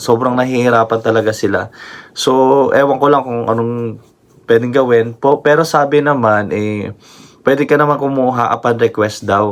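With fairly even intonation, a man talks at a moderate speed in a medium pitch. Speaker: vlogger. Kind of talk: casual vlog talk. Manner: halting.

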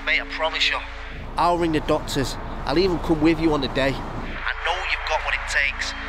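A man at a fairly quick pace, monotone with flat intonation, dry with no echo, amid noticeable background noise. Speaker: supportive friend on phone. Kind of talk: acted phone conversation. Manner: warm, reassuring. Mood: warm, reassuring, earnest. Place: street.

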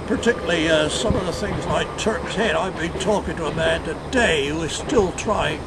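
Over loud background noise, a man talks with hardly any pauses. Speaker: knot tyer, first president of a knotting guild. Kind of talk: interview answer. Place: waterside. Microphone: camera far.

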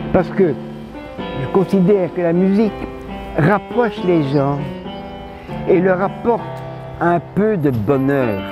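A man with a high voice speaks at a very slow pace with lively intonation and long, frequent pauses, the sound dry with no echo and clear music playing in the background. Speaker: jazz pianist, Holocaust survivor. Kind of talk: interview answer. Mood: warm, reflective. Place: garden.

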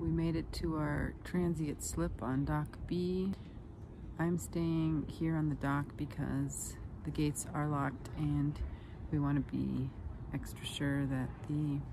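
A woman's very slow, very evenly loud speech, dry with no echo, over noticeable background noise. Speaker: sailing vlogger. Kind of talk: casual vlog chat. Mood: calm, slightly anxious. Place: waterside. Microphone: phone near.

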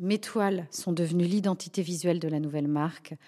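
A woman speaks with a fairly low pitch and a dark, mellow tone, keeping her intonation fairly even. The recording is very clean, with a silent background. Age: 40s. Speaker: fashion designer. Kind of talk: testimony. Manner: halting, with many repeated words.

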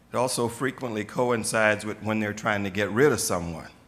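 A man with a fairly bright tone and fairly low pitch. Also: ordinary pitch variation, moderate pace.

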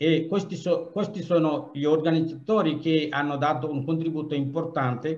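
A man with a fairly high-pitched voice talks at a moderate pace. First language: not Italian (speaking Italian). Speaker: association president. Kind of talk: welcome speech. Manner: halting. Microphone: video call.

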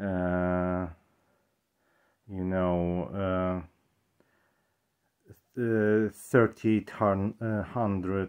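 Very slowly, a man speaks in a flat monotone at a very deep, low pitch. Long, frequent pauses break up his speech over a quiet background. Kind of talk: casual talk to camera. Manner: hesitant, many fillers. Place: home room. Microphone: camera far.

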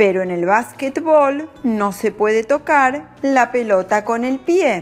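With a Latin American accent, a woman speaks at a very slow pace and a fairly high pitch. Her intonation is lively, and music plays in the background. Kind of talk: language-learning narration. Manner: slow, clear.

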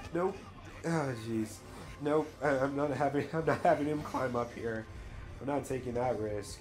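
A man with a fairly high voice speaks at a moderate pace with ordinary pitch variation, leaving long, frequent pauses over music in the background. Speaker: video game streamer. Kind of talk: live gameplay commentary. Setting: live stream. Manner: animated.

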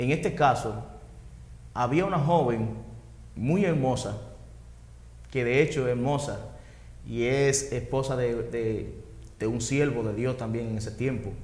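A man speaks at a fairly slow pace with vocal fry, ordinary pitch variation and long, frequent pauses. Room echo can be heard. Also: medium pitch for a man. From Dominican Republic, Maimón de Bonao; Dominican Republic. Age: 40s. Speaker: interviewee. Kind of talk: testimony. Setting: at home. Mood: earnest, reflective. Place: studio. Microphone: lapel.

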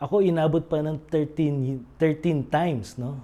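The voice is a man's, dark and mellow in tone. Its pitch varies in an ordinary way. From Philippines. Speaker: recovering gambling addict and recovery coach. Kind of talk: testimony.

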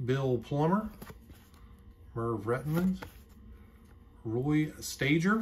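A woman speaks very slowly in a very deep, low voice that is somewhat breathy. Light background noise sits behind her. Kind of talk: casual vlog narration. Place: home room. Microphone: phone near.

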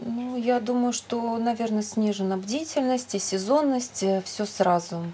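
Speaking at a fairly slow pace with hardly any pauses, a woman uses a fairly high pitch and ordinary pitch variation. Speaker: Rospotrebnadzor official. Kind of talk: expert answers in a live TV discussion. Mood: calm, measured, formal. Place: studio. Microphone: lapel.

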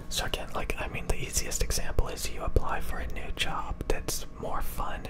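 A soft-spoken man whispers at a moderate pace with hardly any pauses. Loud background noise surrounds him. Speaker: content creator. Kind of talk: casual advice talk, soft-spoken. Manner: soft close-mic ASMR whisper. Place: home room. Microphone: studio mic.

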